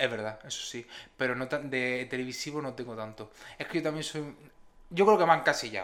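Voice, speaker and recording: Fairly quick in pace, a man speaks at a medium pitch with ordinary pitch variation and big swings in loudness, an ordinary speaking voice. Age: 20s. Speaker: podcast co-host. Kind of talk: casual chat.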